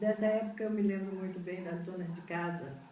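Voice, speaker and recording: Noticeable background noise and audible room echo surround a woman's voice. She has a fairly low pitch, a moderate pace and ordinary pitch variation. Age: 70s. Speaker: retired educator recounting history. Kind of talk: oral history testimony.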